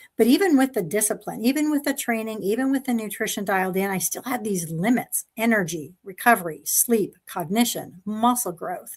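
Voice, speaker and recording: On a very clean recording with a silent background, a somewhat breathy woman talks at a fairly quick pace and a fairly high pitch with lively intonation and hardly any pauses. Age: 60s. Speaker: pediatric neuropsychologist, panelist. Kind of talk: personal testimony in live panel. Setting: live stream.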